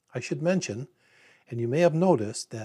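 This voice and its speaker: This man has a dark, mellow tone. His pitch swings very widely. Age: 70s. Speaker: tech tutor for seniors. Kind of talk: tutorial. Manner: friendly and conversational.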